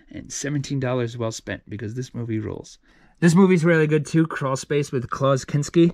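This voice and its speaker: The speech moves at a fairly quick pace with ordinary pitch variation, in a dry sound with no echo over a quiet background. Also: man. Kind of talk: casual vlog chat. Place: home room. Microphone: phone near.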